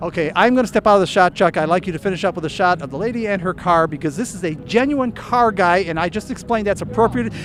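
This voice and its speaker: Against noticeable background noise, a man with a high voice rattles along at a very fast pace with lively intonation and hardly any pauses. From upstate New York. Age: 60s. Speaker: motorsports TV show host. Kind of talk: casual on-site interview. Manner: halting, many fillers.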